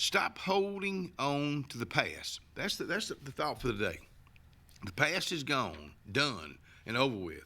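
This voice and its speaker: In a very clean recording with a silent background, a man with an Alabama accent speaks fairly slowly at a fairly high pitch, his bright, sharp tone showing vocal fry, very wide pitch swings and big swings in loudness. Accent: Southern US (Alabama). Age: 70s. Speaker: local TV talk show host. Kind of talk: casual talk show monologue. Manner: halting, many repetitions and fillers.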